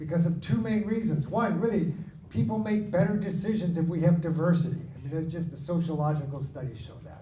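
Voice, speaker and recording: Over noticeable background noise and audible room echo, a man with an American accent talks at a fairly quick pace and fairly high pitch with ordinary pitch variation. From Washington State, US (Lakewood near Tacoma). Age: 60s. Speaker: supreme court candidate, attorney. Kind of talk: candidate forum answer. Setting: in-person community forum.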